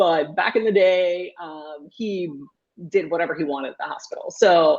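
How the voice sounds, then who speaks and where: A woman with a Puerto Rican accent speaks at a fairly slow pace in a fairly low pitch, over a quiet background. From Puerto Rico. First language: Spanish. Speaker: pediatrician. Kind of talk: interview conversation.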